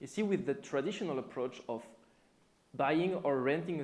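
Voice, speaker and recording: Pitch swings very widely, in a French accent. There is audible echo from the room. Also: man. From France. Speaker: software developer and conference speaker. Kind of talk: conference talk. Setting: stage with audience.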